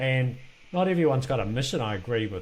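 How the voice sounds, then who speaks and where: A man talks at a fairly quick pace with a somewhat breathy voice. Room echo is audible. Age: 60s. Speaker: podcast host and business exit trainer. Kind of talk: interview conversation. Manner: halting.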